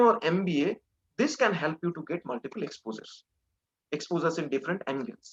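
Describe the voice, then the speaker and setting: The speaker talks at a very fast pace with a Bengali accent. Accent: Indian English, Bengali. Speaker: industry expert speaking to students. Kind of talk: webinar talk.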